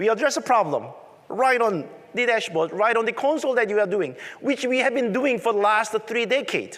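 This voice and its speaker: A man talks with a strong Korean accent. His pitch is high. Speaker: tech conference presenter. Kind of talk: conference presentation.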